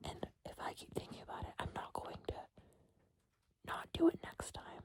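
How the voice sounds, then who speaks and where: At a moderate pace, a woman speaks in a whisper. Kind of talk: whisper ramble, casual talk to camera. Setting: in bed, eating candy. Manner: whispered, soft-spoken.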